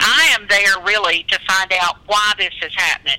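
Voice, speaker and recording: Moderate pace over noticeable background noise. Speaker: author. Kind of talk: interview.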